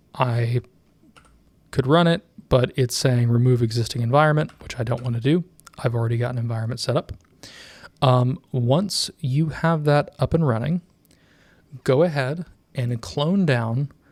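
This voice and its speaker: A man of medium pitch speaks fairly slowly and somewhat breathily, with ordinary pitch variation and long, frequent pauses. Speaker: tech tutorial youtuber. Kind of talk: tutorial. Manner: casual with many fillers.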